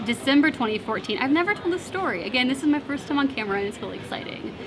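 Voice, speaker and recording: A woman talks at a very fast pace with high pitch and lively intonation. Noticeable background noise and audible room echo surround her. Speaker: debut novelist. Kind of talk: interview. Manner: halting.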